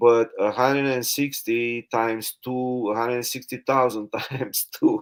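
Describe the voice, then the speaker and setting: A very slow, monotone, flat delivery from a man with a non-native accent at medium pitch, in a very clean recording with a silent background. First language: not English. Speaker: live stream host, network marketer. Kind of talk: casual interview. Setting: live stream. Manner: halting.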